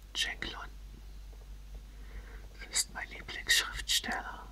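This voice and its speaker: Noticeable background noise can be heard behind the whispering. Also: woman. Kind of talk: casual talk to camera. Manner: whispered.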